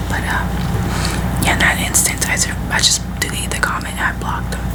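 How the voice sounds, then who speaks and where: A woman whispers in a gentle tone. Noticeable background noise is present. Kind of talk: ASMR storytime, personal attention. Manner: soft, gentle whisper.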